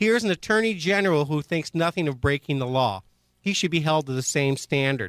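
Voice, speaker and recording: In a very clean recording with a silent background, a man with an unremarkable speaking voice talks at a fairly quick pace, his pitch fairly high, his intonation lively and his loudness very even. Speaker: radio show host. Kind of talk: radio talk show hosting. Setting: radio studio.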